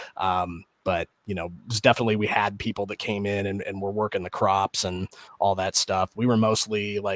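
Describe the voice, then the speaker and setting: A man with a Midwestern accent talks at a moderate pace in a fairly low pitch with monotone, flat intonation and hardly any pauses, the sound dry and close with no echo. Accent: Midwest. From US Midwest, rural Illinois near Peoria. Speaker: podcast co-host. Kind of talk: casual chat.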